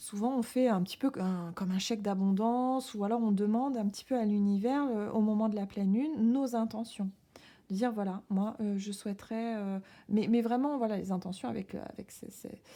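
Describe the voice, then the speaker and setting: In a very clean recording with a silent background, a woman with a fairly high yet dark, mellow tone talks at a moderate pace with fairly even intonation. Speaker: tarot reader. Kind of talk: tarot reading. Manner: halting, many hesitations.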